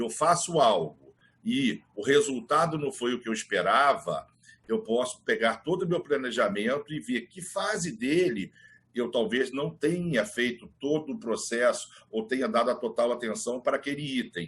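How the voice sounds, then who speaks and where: A man with a fairly high pitch speaks with very wide pitch swings. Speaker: business leader and trainer. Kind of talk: online mentoring talk. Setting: online video session. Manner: fast.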